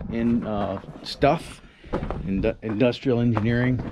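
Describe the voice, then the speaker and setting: A man talks over noticeable background noise. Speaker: explorer vlogger. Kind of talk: casual vlog chat. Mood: curious, relaxed. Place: open country. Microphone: phone near.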